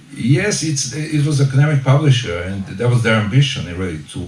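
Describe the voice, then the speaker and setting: A man with a Serbian accent speaks with lively intonation. Audible room echo surrounds his voice. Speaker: author. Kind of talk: book launch talk. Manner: halting.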